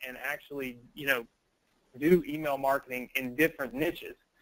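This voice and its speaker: Fairly even intonation in a dry, close sound with no echo. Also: man. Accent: Southern US. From US South. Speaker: online business trainer. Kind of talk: live webinar sales pitch. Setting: live online training call.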